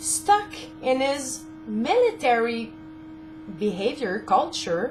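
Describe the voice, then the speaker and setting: A woman with a French-Canadian accent, at a very slow pace, over noticeable background noise. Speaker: caregiver spouse of a veteran. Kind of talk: casual talk to camera.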